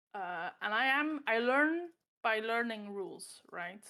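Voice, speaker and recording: On a very clean recording with a silent background, a woman speaks in a high pitch with lively intonation. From Belgium. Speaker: chess player and coach. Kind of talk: interview. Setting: livestream with chat. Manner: hesitant, with frequent fillers.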